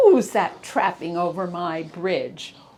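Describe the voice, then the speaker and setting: A woman puts on a gruff, growling, bellowing character voice at a fairly low pitch and a fairly slow pace. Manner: roaring, gruff.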